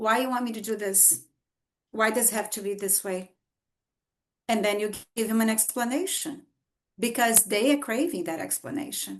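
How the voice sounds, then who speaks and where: With a Brazilian Portuguese accent, a woman speaks at a fairly high pitch and moderate pace, her pitch varying normally, with long, frequent pauses. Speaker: author. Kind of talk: podcast interview.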